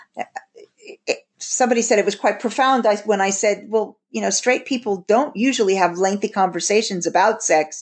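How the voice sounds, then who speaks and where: In an American accent, a woman with an unremarkable speaking voice talks at a moderate pace, her fairly high pitch showing ordinary pitch variation. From US. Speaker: podcast host, intimacy coach and psychologist. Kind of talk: interview conversation; scripted outro.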